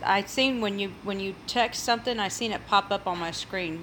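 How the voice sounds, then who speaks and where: At a moderate pace, a woman speaks with a bright, sharp tone and fairly even intonation. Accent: American. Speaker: cooking YouTuber. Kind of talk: casual livestream chat. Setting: home livestream, sitting in a chair.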